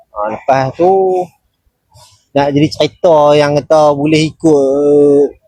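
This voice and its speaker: His pitch is fairly high. The man's voice varies in pitch in an ordinary way. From northern Malaysia (Seberang Perai, Penang). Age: 20s. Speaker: team member, paranormal crew. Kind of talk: casual chat. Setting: live stream.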